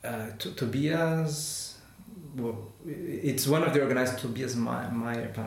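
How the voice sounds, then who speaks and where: A man's medium-pitched voice with a Portuguese accent, very slow and fairly even, amid audible room echo and noticeable background noise. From Brazil. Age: 30s. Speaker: chemist, postdoctoral researcher. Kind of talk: interview. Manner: halting.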